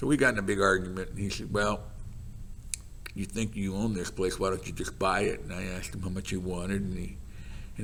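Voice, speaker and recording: A man with an American accent talks at a fairly quick pace. His fairly low voice carries vocal fry and ordinary pitch variation. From Los Gatos, California. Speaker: retired carpet business owner. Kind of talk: oral history interview answer.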